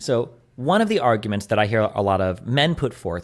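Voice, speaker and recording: A man speaks at a fairly low pitch on a very clean recording with a silent background. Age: 30s. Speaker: podcast guest. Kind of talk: casual chat.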